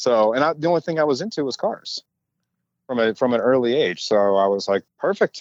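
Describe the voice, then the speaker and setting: Here is a man with an unremarkable speaking voice at medium pitch. He talks at a moderate pace with lively intonation. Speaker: toy car customizer. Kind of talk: casual interview.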